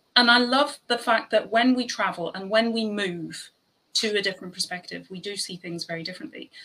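A woman with an Irish accent, bright and sharp in tone, at a fairly quick pace. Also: medium pitch for a woman, ordinary pitch variation, big swings in loudness. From Ireland. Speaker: podcast host. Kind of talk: casual chat.

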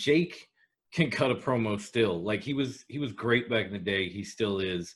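A man talks at a moderate pace and medium pitch in an ordinary speaking voice. The recording is very clean, with a silent background. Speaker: podcast co-host.

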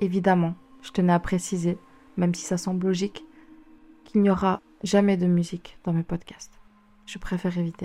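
Using a fairly low pitch and a monotone, flat intonation, a woman speaks at a moderate pace with long, frequent pauses. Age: 20s. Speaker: podcaster and writer. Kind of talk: personal monologue.

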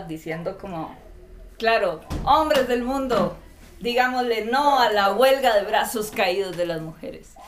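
Amid noticeable background noise and audible room echo, a woman in a Costa Rican accent speaks at a very slow pace with lively intonation. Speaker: graduate student. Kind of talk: casual chat.

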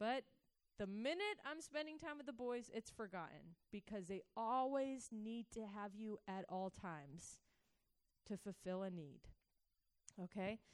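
A woman with an American accent talks at a fairly slow pace with lively intonation and long, frequent pauses. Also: fairly high pitch for a woman. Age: 30s. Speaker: church teacher. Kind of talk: sermon.

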